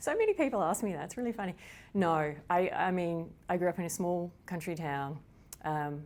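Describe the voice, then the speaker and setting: The speaker is a woman with an Australian accent. Her pace is fairly quick. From Australia, rural Victoria. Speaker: psychology professor. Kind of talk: interview.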